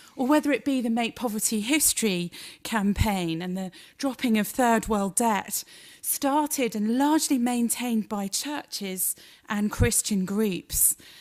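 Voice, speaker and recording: In a British accent, a woman talks at a fairly slow pace with a fairly high pitch and ordinary pitch variation. The recording is very clean, the background silent. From Britain. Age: 40s. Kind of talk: public lecture.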